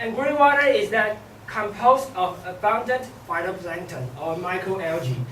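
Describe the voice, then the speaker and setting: Noticeable background noise behind speech at a moderate pace. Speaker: student presenter. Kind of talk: class presentation.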